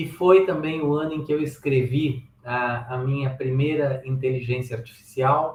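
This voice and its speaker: A man speaks in a normal speaking voice at a medium pitch and a fairly slow pace. His intonation is fairly even, with hardly any pauses. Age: 60s. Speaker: software engineering speaker and author. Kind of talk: presentation talk.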